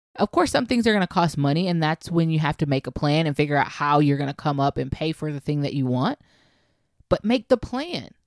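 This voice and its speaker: Fairly quick and animated, a woman with a very deep, low pitch and lively intonation is heard on a very clean recording with a silent background, the sound dry and close with no echo. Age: 30s. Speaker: podcast host and life coach. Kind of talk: motivational monologue.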